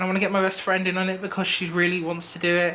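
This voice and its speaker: A man with an English accent talks at a very fast pace in a high pitch, using a raised, projected voice. Noticeable background noise runs under the recording. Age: 20s. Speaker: vlogger. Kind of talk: casual vlog monologue. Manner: rambling, filler-heavy.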